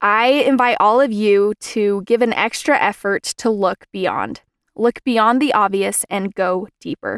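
An ordinary speaking voice from a woman, fairly high in pitch with ordinary pitch variation, in a dry, close sound with no echo and a very clean recording over a silent background. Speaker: student podcast host. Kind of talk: scripted narration.

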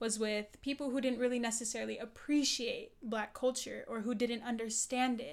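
Here a woman speaks at a high pitch. Her intonation stays fairly even. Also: moderate pace. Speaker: student union president. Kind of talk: casual interview conversation.

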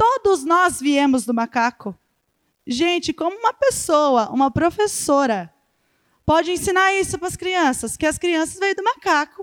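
Extremely high in pitch with very wide pitch swings, a woman speaks at a fairly slow pace in a dry, close sound with no echo. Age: 20s. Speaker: children's ministry leader. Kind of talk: church talk.

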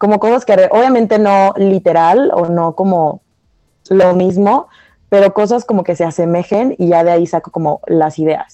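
A woman with a dark, mellow tone talks at medium pitch and a moderate pace with fairly even intonation. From Mexico (from Venezuela, moved at age five). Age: 20s. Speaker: student designer. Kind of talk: casual chat.

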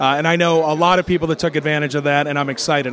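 This man rattles off his words very quickly. Behind him, background noise is clearly noticeable. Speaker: roving interviewer at convention. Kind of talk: man-on-the-street interviews. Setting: convention hall, outdoors and booths.

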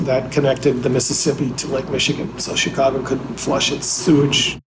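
A man with an American accent speaks at a fairly quick pace in a fairly high pitch, his intonation monotone and flat, with audible room echo. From US Midwest, Wisconsin (Fox River, Green Bay area). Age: 50s. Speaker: journalist and author. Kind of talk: interview.

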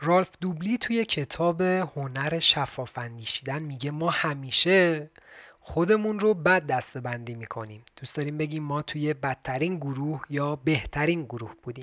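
A man speaks at a moderate pace with hardly any pauses, in a plain, everyday voice, fairly high in pitch with ordinary pitch variation. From Iran. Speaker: podcast host doing military service. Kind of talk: scripted narration; casual chat.

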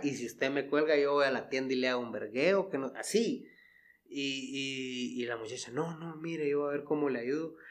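A man's fairly high voice at a moderate pace, animated in tone, with ordinary pitch variation. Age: 30s. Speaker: podcast host. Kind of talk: casual chat.

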